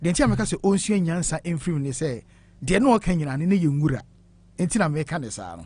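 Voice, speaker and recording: The speaker has a Ghanaian accent. The pace is very fast. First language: Twi. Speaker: radio show host. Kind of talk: talk show interview on health.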